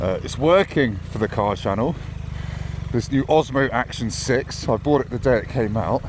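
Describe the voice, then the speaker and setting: Over noticeable background noise, a man with an English accent speaks at a moderate pace in a medium pitch with ordinary pitch variation. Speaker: motorcycle vlogger. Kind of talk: casual vlog chat. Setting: riding a motorbike in the rain. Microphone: new action camera audio setup, may be poor.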